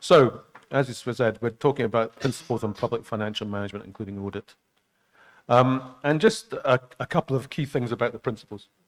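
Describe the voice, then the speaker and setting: A man's medium-pitched voice with a Scottish accent and ordinary pitch variation, dry and close with no echo. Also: fairly quick pace. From Scotland. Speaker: international public finance expert. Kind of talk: training lecture. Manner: halting, many fillers.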